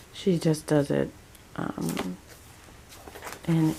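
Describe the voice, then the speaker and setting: Noticeable background noise accompanies speech delivered at a very slow pace. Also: woman. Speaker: homeschooling mom vlogger. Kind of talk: casual vlog update. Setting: at home. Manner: hesitant, many fillers.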